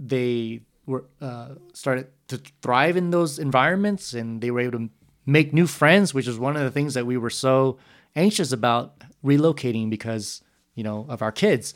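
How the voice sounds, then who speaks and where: With an American accent, a man talks at a moderate pace in an ordinary speaking voice of medium pitch. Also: ordinary pitch variation. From San Jose, California. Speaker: youth ministry coordinator. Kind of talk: casual chat. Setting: conference center at night.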